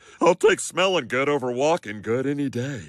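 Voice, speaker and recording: A cartoonish character voice at a moderate pace with ordinary pitch variation. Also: man, fairly high pitch for a man. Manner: loud, intense.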